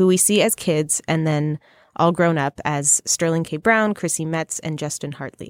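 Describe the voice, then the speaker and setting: A woman talks at a moderate pace. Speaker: podcast host. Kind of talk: casual interview and chat.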